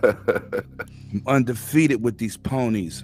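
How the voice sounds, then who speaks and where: Speaking in a medium-pitched voice, a man comes across with an energetic tone. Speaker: voice chat participant in gaming group. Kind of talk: casual slang. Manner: energetic, hype.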